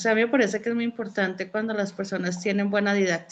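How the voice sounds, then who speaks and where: A woman with a Colombian accent talks at a medium pitch, her intonation fairly even. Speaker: student. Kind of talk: casual chat. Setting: video call.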